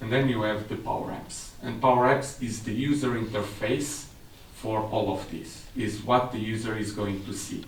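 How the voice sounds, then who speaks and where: A man with a Portuguese accent speaks at a moderate pace. Audible room echo and noticeable background noise surround him. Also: medium pitch for a man. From Portugal. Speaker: technical specialist. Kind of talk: seminar presentation.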